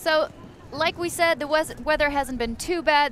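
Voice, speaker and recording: The woman speaks with a non-native accent. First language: not English. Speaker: sports commentator. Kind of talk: live commentary.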